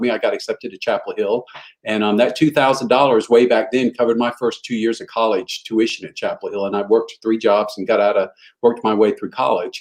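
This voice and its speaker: This man has a Southern US accent. He talks at a very fast pace. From Eastern North Carolina, US South. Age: 60s. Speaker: motivational speaker. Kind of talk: interview storytelling.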